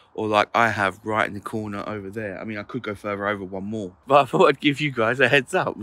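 The voice has a bright, sharp tone, a British accent, fairly even intonation and a moderate pace. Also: man. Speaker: motorhome vlogger. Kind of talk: vlog. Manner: casual, chatty.

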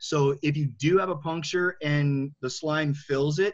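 A man speaks in a somewhat breathy, fairly high voice. His intonation is fairly even. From Michigan. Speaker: wheelchair skills instructor. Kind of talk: tutorial.

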